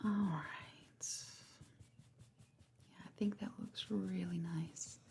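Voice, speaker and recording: A soft-spoken woman with a gentle, dark, mellow tone, vocal fry and lively intonation. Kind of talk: soft-spoken ASMR makeup roleplay. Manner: soft-spoken, gentle.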